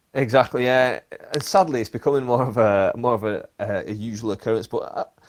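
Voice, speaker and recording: A man speaks at a medium pitch with a Lancashire accent. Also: ordinary pitch variation, fairly quick pace. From northern England, Bolton. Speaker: podcast host and stand-up comedian. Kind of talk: casual chat.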